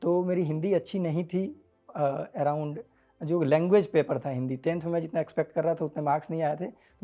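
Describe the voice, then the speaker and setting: A man speaks with a fairly high pitch, ordinary pitch variation and a dark, mellow tone. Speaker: exam topper. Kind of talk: interview.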